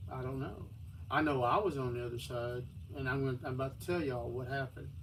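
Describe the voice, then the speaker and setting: A somewhat breathy man with a Texan accent at a fairly quick pace, with audible room echo. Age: 60s. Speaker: livestreamer. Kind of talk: personal storytelling on a livestream. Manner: halting.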